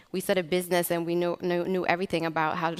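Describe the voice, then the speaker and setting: This woman's voice is fairly low in pitch. She speaks in a monotone, flat way. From Eritrea. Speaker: entrepreneur, startup co-founder. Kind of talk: panel discussion.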